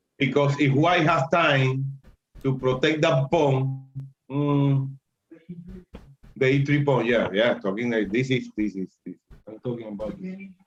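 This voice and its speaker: A man with a Spanish accent speaks at a fairly slow pace and a medium pitch, with ordinary pitch variation. His loudness swings widely and he pauses long and often. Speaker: chess teacher. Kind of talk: lecture. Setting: live stream. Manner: halting.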